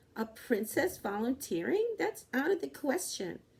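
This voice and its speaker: Using a put-on character voice, a woman speaks at a moderate pace with a high pitch. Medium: read story. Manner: irritable, haughty.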